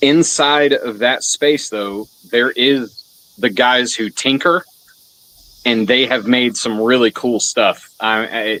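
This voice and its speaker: Very slowly and loudly, a man speaks at a medium pitch with a bright, sharp tone. His pitch varies in an ordinary way, and the sound is dry and close with no echo. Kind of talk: casual chat.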